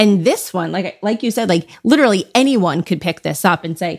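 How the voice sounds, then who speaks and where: A woman speaks at a moderate pace and medium pitch in a plain, everyday voice. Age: 40s. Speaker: podcast host and parenting expert. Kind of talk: casual interview.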